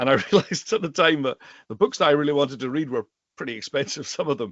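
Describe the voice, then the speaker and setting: A man in a Highlands and Islands Scottish accent speaks with lively intonation. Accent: Highland and Islands Scottish. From Scotland, Western Isles / Isle of Skye. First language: Scottish Gaelic. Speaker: rare book dealer and Gaelic teacher. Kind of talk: casual interview chat.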